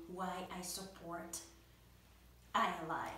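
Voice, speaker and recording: A woman with a medium pitch speaks amid audible room echo. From Democratic Republic of the Congo. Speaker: college student and nonprofit board member. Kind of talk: prepared testimonial speech. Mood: warm, grateful.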